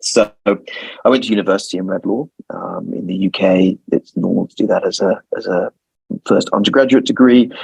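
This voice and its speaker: A man with a London accent speaks at a moderate pace. The sound is dry and close with no echo. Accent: British (London). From London, England. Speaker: lawyer. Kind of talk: interview.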